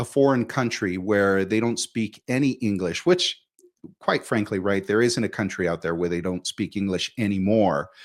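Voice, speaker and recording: A man with an unremarkable speaking voice talks at a moderate pace, with a fairly low pitch and ordinary pitch variation. The recording is very clean, with a silent background. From Mexico, moved to US at about five. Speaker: immigrant sharing life story. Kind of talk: interview conversation.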